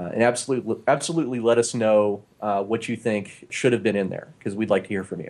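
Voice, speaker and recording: A man talks at a fairly quick pace with hardly any pauses, in an ordinary speaking voice at medium pitch. His pitch varies in an ordinary way, and the recording is very clean with a silent background. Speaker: podcast host and game designer. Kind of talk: casual chat. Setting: studio.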